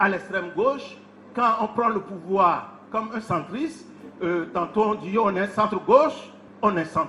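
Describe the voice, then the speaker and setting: A man projects his high voice in a raised, very slow delivery over noticeable background noise. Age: 70s. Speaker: professor. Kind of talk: public speech.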